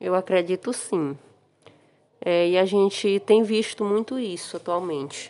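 A woman speaks at a medium pitch and a fairly slow pace. Her pauses are long and frequent. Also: ordinary pitch variation. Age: 40s. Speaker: interviewee. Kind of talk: interview answers. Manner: halting.

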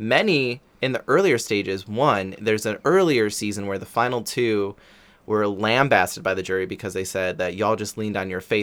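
In a very clean recording with a silent background, a man with a normal speaking voice talks at a fairly low pitch with ordinary pitch variation. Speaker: podcast host. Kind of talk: casual interview.

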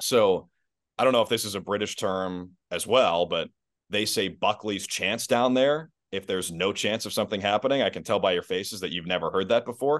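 Speaking fairly quickly, a man has a normal speaking voice with a fairly low pitch. His pitch varies in an ordinary way over a quiet background. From US Midwest. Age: 20s. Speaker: basketball play-by-play announcer. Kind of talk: casual interview. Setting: video call.

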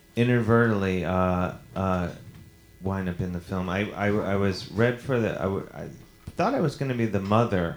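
A man with a fairly low pitch and an unremarkable speaking voice talks at a moderate pace with ordinary pitch variation. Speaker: comedian podcast host. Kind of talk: live comedy show banter. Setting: stage with audience. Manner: joking, playful.

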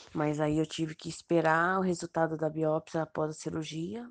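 The sound is dry and close with no echo as a woman speaks at a moderate pace with a very deep, low pitch and ordinary pitch variation. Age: 30s. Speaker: thyroid cancer patient. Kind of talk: personal testimony.

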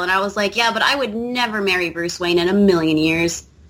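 A woman at a fairly quick pace, with ordinary pitch variation, amid noticeable background noise. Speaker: podcast co-host. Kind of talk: casual chat. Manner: animated.

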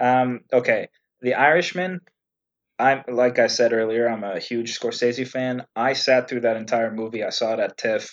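Speaking with a Canadian accent, a man uses a plain, everyday voice at medium pitch, with fairly even intonation and a moderate pace over a quiet background. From Canada. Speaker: actor. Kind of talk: casual chat.

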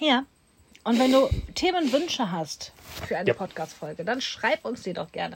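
Pausing long and often, a woman with a high pitch speaks at a moderate pace with very wide pitch swings. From Germany, Duisburg (Ruhr area). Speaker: podcast host, coach. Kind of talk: casual chat.

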